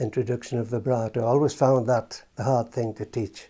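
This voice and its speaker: A man's medium-pitched, somewhat breathy voice, dark and mellow in tone, with monotone, flat intonation at a moderate pace, on a very clean recording with a silent background. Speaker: retired brass band cornet player. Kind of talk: interview reminiscence. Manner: halting, with fillers and repeats.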